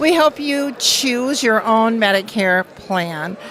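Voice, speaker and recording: Over noticeable background noise, a woman talks with lively intonation at a fairly high pitch. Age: 70s. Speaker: insurance agent. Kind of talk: interview.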